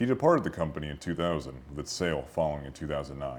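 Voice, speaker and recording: This man's voice carries vocal fry. He talks at a very fast pace. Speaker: museum intern, interviewer. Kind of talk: formal scripted introduction.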